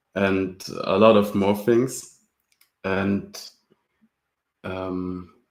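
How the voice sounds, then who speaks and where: A man's fairly low voice in a German accent, monotone and flat, at a very slow pace with long, frequent pauses. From Germany. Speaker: open source library creator, student. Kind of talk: casual interview.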